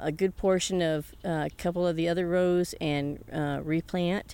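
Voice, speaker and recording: A woman speaks in a plain, everyday voice with fairly even intonation. The recording is very clean, with a silent background. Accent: American. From US South. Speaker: hydroponic tomato farmer. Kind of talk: interview.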